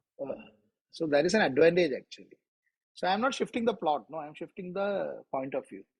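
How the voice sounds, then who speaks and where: A man with an Indian accent talks at a fairly quick pace in a high pitch, his intonation lively. The sound is dry and close with no echo, and his loudness swings widely. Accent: Indian accent, kids correct it. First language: Malayalam. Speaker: author. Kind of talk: interview.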